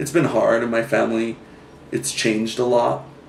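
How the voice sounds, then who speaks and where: Audible room echo follows a man speaking at a medium pitch and a moderate pace. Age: 20s. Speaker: photographer. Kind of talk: interview testimony. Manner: halting, many fillers.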